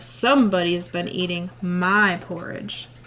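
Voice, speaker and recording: Using a put-on character voice, a woman speaks fairly slowly at a medium pitch. Background noise is clearly audible. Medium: read story.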